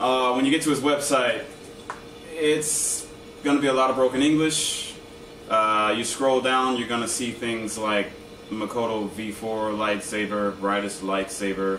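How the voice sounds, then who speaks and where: A man talks at a fairly slow pace with ordinary pitch variation. There is audible room echo and light background noise. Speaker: lightsaber group member giving how-to video; hobbyist reviewer. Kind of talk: tutorial. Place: home room. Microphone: camera far.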